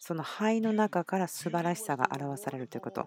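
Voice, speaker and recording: Recorded very cleanly against a silent background, the sound is dry and close with no echo. A woman with a plain, everyday voice talks at a fairly quick pace in a fairly low pitch. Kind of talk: sermon, translated Japanese voice-over of a church message. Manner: earnest, conversational, personal and persuasive; steady, teaching pace with long run-on sentences.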